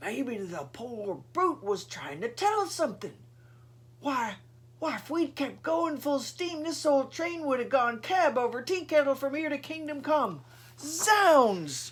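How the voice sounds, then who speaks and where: Someone uses a put-on, high-pitched character voice at a fairly slow pace. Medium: read story. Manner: blustering, exclamatory.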